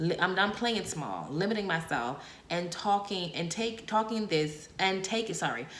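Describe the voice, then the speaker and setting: A woman's fairly low, animated voice with lively intonation at a fairly slow pace, with audible room echo. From Bahamas. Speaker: podcast host. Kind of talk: solo podcast monologue.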